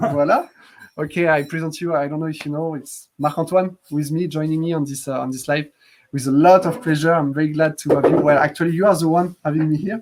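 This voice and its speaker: A man with a French accent and a fairly high pitch talks at a very fast pace. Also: fairly even intonation. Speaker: app developer hosting a live stream. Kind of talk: live stream chat. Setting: Facebook Live video stream.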